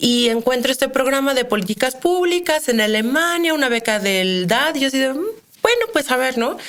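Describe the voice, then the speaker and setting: Amid noticeable background noise, a woman speaks at a high pitch with a central Mexican accent. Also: lively intonation, moderate pace. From Mexico, Querétaro. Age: 30s. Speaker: criminologist. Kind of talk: interview.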